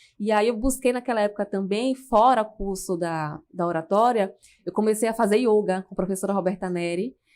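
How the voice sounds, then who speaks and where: A woman with an ordinary speaking voice at a medium pitch, in a very clean recording with a silent background. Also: ordinary pitch variation, moderate pace. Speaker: public speaking coach. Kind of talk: podcast interview.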